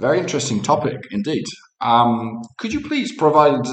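With an unremarkable speaking voice, a man talks at a moderate pace using lively intonation. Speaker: chief investment officer. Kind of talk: interview-style podcast dialogue.

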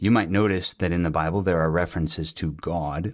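The man's pitch is very deep and low, with ordinary pitch variation at a moderate pace. The recording is very clean, with a silent background. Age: 40s. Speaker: podcast host, theology teacher. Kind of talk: reflective monologue.

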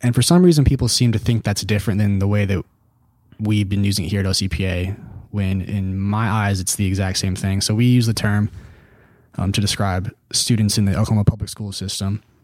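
A man with a fairly low pitch uses a normal speaking voice, talking at a fairly quick pace with fairly even intonation on a very clean recording with a silent background. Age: 20s. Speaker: think tank policy analyst and podcast host. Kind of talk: casual chat.

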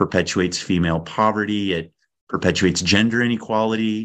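A man with an American accent, fairly quick in pace and fairly even in intonation, against a quiet background. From California. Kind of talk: interview.

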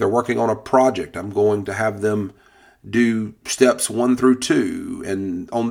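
A man speaks at a very slow pace in a medium-pitched voice. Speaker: high school teacher and podcast host. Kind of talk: solo podcast monologue. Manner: hesitant, many filler words and repetitions.

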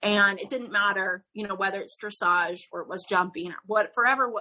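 Her fairly high voice, with a bright, sharp tone and ordinary pitch variation, carries an American accent. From Northern Nevada, US. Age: 30s. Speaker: dressage rider and horse trainer. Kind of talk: interview conversation.

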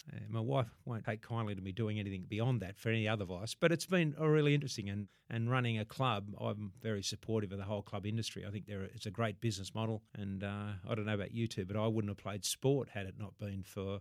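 A man in an Australian accent speaks at a very fast pace with hardly any pauses. His pitch varies in an ordinary way. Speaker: former rugby league player. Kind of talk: interview.

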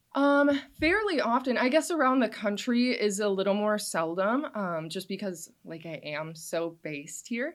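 A woman with an American accent and an ordinary speaking voice talks at a moderate pace, with hardly any pauses. Her fairly high voice shows big swings in loudness. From Wisconsin, US Midwest. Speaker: social media creator on local paranormal history. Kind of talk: casual interview. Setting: studio.

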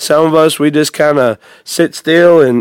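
In an unremarkable speaking voice, a man talks at a fairly high pitch with ordinary pitch variation, recorded dry and close with no echo. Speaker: podcast co-host. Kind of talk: casual Bible-study podcast chat. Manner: earnest, conversational.

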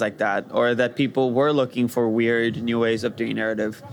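A man speaks against noticeable background noise. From Brazil, Rio de Janeiro. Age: young. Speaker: VR developer. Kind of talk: interview.

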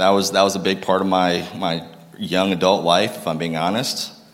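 The speaker has an American accent and an animated tone. The pace is fairly quick. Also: man. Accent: northern US, noticed by locals. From Massachusetts (Lowell). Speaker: guest speaker. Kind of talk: sermon testimony. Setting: church stage with audience.

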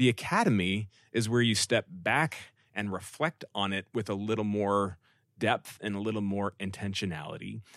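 A man in a normal speaking voice talks at a moderate pace with fairly low pitch and ordinary pitch variation against a quiet background. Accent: American. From California Bay Area, later Dallas. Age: middle-aged. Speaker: pastor. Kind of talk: interview.

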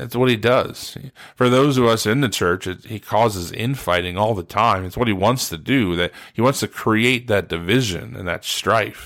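In an American accent, a man talks at a fairly low pitch and a moderate pace, with a plain, everyday voice. His pitch varies in an ordinary way, and the recording is very clean with a silent background. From Ohio (Steubenville). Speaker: pastor. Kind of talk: sermon-style podcast talk. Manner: casual, many filler uhs.

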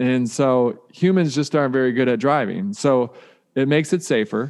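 In an American accent, a man uses a plain, everyday voice, fairly high in pitch, with lively intonation at a moderate pace. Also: quiet background. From US Midwest, Detroit. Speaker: author and keynote speaker. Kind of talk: podcast interview.

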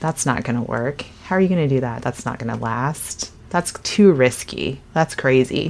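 A woman with an American accent speaks at a moderate pace in a very deep, low voice. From Western Kansas, Dodge City. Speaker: fitness studio owner. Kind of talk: interview.

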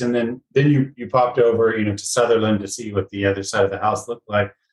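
A somewhat breathy male voice. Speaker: podcast host. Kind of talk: interview.

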